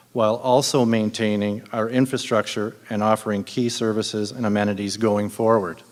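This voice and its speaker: A man with a Canadian accent speaks at a moderate pace and a fairly low pitch, in monotone, flat intonation with hardly any pauses, against noticeable background noise. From Ontario, Canada. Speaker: city councillor candidate. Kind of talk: prepared campaign speech.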